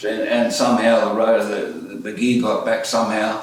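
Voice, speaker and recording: A man with an Australian accent at a moderate pace, with noticeable background noise and audible room echo. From Australia (Orange, NSW), born in Netherlands. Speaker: musician and piano tuner. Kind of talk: autobiographical storytelling. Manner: casual, hesitant with many fillers.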